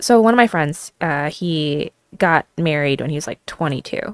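A woman with an unremarkable speaking voice talks at a moderate pace and a fairly low pitch, with ordinary pitch variation. The recording is very clean, dry and close, with a silent background and no echo. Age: 30s. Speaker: model, actress and martial artist. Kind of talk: casual chat.

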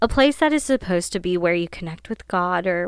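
A woman with a Midwestern American accent talks at a fairly quick pace on a very clean recording with a silent background. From Ohio. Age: 20s. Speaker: podcast host. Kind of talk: casual monologue. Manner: animated.

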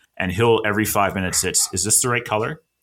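A man with a Canadian accent, a bright, sharp tone and fairly even intonation. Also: very clean recording, silent background. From Nova Scotia, Canada. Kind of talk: casual chat.

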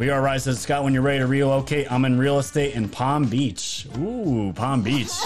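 The speaker keeps a moderate pace with hardly any pauses and very even loudness. Pitch varies in an ordinary way over noticeable background noise. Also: man, medium pitch for a man. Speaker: livestream host. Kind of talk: casual livestream chat about news and politics. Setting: live stream online.

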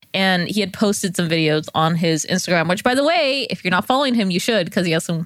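A woman speaks at a very fast pace with hardly any pauses, her medium pitch carrying lively intonation at a very even loudness. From California, San Joaquin Valley. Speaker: podcast co-host. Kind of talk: casual chat.

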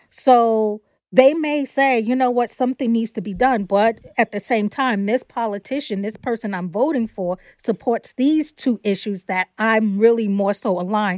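A woman with an ordinary speaking voice talks at a moderate pace, pitched fairly high with ordinary pitch variation. The sound is dry and close with no echo, on a very clean recording against a silent background. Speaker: podcast co-host. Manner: measured, reasoning.

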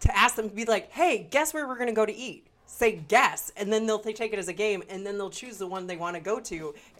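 A woman speaks fairly quickly with hardly any pauses, in an unremarkable speaking voice. Her pitch is fairly high with ordinary variation, and her loudness swings a lot. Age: 30s. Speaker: podcast co-host. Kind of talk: casual chat.

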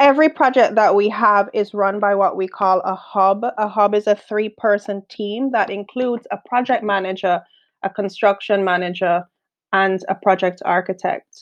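At a moderate pace, a woman speaks at medium pitch with ordinary pitch variation in a dry, close sound with no echo. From Jamaica. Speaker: construction project manager and quantity surveyor. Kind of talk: podcast interview.

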